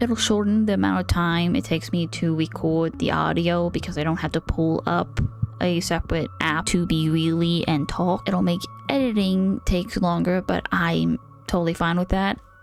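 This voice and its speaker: A woman speaking at a moderate pace, with music in the background. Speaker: artist and content creator. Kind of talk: casual vlog narration. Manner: casual, conversational.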